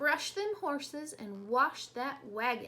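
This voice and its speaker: A woman uses a gruff, put-on character voice pitched high, with very wide pitch swings. She speaks at a fairly slow pace. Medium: read story. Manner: gruff, bossy.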